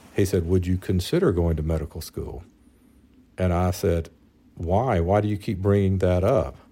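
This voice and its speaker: Very deep, low male voice in a Mississippi accent, dark and mellow in tone, at a moderate pace with fairly even intonation, on a very clean recording with a silent background. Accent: Southern US (Mississippi). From US South, North Mississippi. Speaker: physician, husband of host. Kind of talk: casual interview, personal story.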